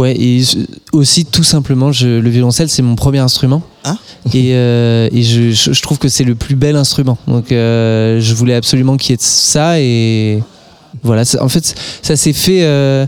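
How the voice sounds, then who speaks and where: A man talks at a fairly slow pace with medium pitch and fairly even intonation. His loudness stays very even, with noticeable background noise. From Alsace. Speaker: singer. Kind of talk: interview.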